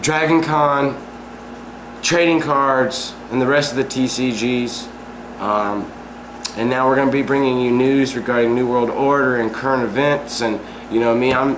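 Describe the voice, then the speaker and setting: Amid noticeable background noise and audible room echo, a man speaks at a moderate pace and medium pitch, with fairly even intonation and long, frequent pauses. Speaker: vlog talk show host. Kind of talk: casual chat.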